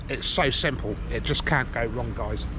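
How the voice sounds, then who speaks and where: The sound is dry with no echo, and background noise is noticeable. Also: man. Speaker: fishing vlogger. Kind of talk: casual vlog chat. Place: waterside. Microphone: phone near.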